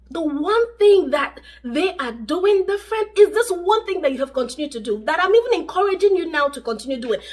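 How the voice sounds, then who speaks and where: Through noticeable background noise, a woman with an extremely high pitch talks in an animated tone at a fairly quick pace, her pitch swinging very widely. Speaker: relationship vlogger. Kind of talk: advice vlog to camera.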